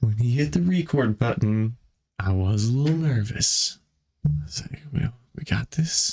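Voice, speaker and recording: A somewhat breathy man of medium pitch speaks at a fairly slow pace with very wide pitch swings. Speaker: podcast co-host. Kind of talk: casual chat. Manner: animated.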